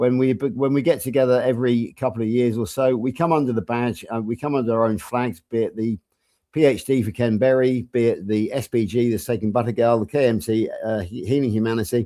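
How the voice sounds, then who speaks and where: Dark and mellow in tone, a man's medium-pitched voice moves at a fairly quick pace with ordinary pitch variation. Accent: English. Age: 60s. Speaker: health coach. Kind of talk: casual chat.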